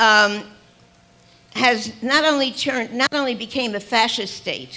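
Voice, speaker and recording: Over noticeable background noise, a woman with a fairly high pitch speaks very slowly, her pitch varying in an ordinary way. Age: 80s+. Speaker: activist speaker. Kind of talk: rally speech. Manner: impassioned, repetitive.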